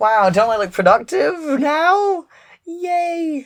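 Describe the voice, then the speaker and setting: A man with an Irish accent. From Ireland. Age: 20s. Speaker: comedian. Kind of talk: comedic video essay. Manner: halting, filler-heavy.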